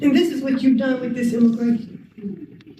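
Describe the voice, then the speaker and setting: Noticeable background noise sits behind a woman speaking at a high pitch in an American accent. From Southern US. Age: 80s+. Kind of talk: public comment speech.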